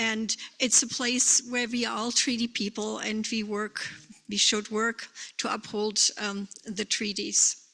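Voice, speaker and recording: A woman with a German accent speaks at a fairly slow pace, her fairly high pitch held in a monotone, flat intonation. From Germany. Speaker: bereaved parent and drug policy advocate. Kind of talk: conference presentation. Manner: halting.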